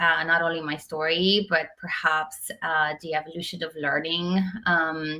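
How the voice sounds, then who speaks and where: A woman's fairly low-pitched voice at a fairly slow pace, with noticeable background noise. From Romania. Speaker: tech executive. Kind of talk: interview. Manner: hesitant, many fillers.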